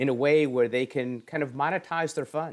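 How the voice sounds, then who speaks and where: A plain, everyday voice from a man with an American accent, fairly high in pitch, at a moderate pace with lively intonation, on a very clean recording with a silent background. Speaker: esports education foundation executive. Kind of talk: interview.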